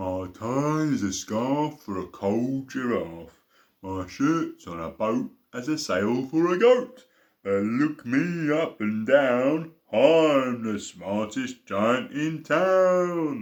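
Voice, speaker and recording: A man adopts a put-on character voice at medium pitch, speaking at a very slow pace. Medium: read story. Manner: cheerful, singsong.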